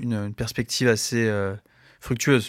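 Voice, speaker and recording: This man speaks at a medium pitch with fairly even intonation on a very clean recording with a silent background. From France, Saint-Denis. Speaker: film festival programmer. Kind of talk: radio interview. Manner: hesitant, many fillers.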